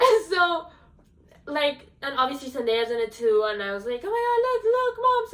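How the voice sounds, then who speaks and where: In a raised, projected voice with a Spanish accent, a woman talks at a fairly quick pace at an extremely high pitch, with very wide pitch swings. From Venezuela. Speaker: book vlogger. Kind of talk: casual chat. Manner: casual, filler-heavy.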